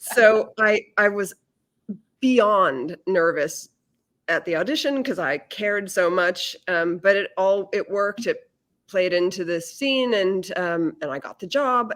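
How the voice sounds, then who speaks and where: A woman talks at a fairly slow pace with lively intonation in a plain, everyday voice of medium pitch. The recording is very clean, the background silent. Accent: American. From Massachusetts. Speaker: actress and audiobook narrator. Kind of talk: casual interview.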